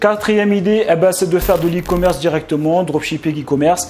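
Against light background noise, a man speaks at a moderate pace in a high pitch. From France, Paris suburbs (Essonne). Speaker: online business coach / YouTuber. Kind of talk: casual vlog talk to camera, sales pitch. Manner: animated, repetitive filler-heavy. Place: home room. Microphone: lapel.

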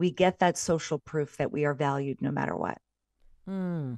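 The background is quiet and the sound is dry with no echo. A woman speaks at a moderate pace with ordinary pitch variation. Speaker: parenting expert, mother; podcast guest. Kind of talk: interview; interview answer. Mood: warm, earnest. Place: home room. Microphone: video call.

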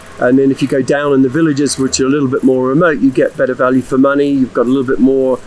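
At a fast pace, this slightly mellow voice shows little pitch movement over faint background noise. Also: man, medium pitch for a man.

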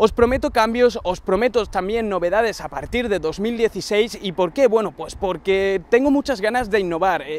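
A man talks with a high pitch and ordinary pitch variation, with hardly any pauses. The sound is dry with no echo. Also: moderate pace. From Andalusia, Huelva; Andalusia. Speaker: tech YouTuber; channel host. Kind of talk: casual vlog address to viewers; casual vlog chat. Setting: outdoors on a long avenue. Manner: hesitant, many fillers. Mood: warm, grateful. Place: garden.

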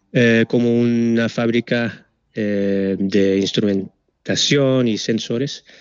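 A man's very slow, monotone delivery with flat intonation, dry sound with no echo and a quiet background. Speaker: product manager for sensor manufacturer; presenter. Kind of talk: webinar presentation. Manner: halting, many fillers. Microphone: video call.

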